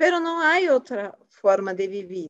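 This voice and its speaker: A woman speaks in a Portuguese accent with very wide pitch swings. The sound is dry and close, with no echo. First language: Portuguese (speaking Spanish). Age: 40s. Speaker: finance worker. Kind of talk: casual chat.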